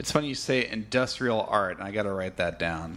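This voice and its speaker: A man with an American accent, fairly low pitch, vocal fry, a bright, sharp tone and lively intonation. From California. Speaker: podcast host. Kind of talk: interview conversation. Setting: studio.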